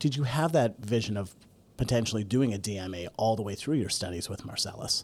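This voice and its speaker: In a very clean recording with a silent background, a man has an unremarkable speaking voice, fairly low pitch, moderate pace and ordinary pitch variation. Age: 40s. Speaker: guest podcast host, clarinet company executive. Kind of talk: interview.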